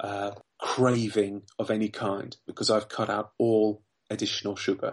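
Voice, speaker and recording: His intonation stays monotone and flat. The man's pitch sits fairly low. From southern England. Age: 40s. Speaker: weight loss success story guest, finance worker. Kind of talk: podcast interview.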